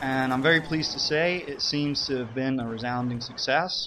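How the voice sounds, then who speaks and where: Over noticeable background noise, a man with a fairly high pitch speaks in a bored tone. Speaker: gaming commentator. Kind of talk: game commentary monologue. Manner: unexcited, sounds bored.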